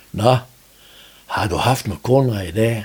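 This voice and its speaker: A man speaks in a somewhat breathy voice. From Denmark, North Jutland (Strandby, Vendsyssel). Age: 70s. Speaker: retired net maker. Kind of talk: interview. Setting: studio.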